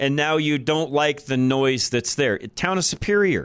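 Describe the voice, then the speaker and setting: In an American accent, a man speaks at a fairly slow pace with lively intonation. He has an ordinary speaking voice, pitched fairly high. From Colorado, Boulder area. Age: 50s. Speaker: talk radio host. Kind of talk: talk radio monologue.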